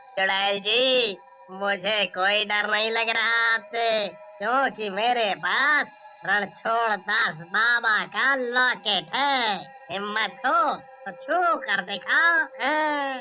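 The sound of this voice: A cartoonish character voice from a man, high-pitched and raised and projected, at a very slow pace with ordinary pitch variation and very even loudness, over clear background music.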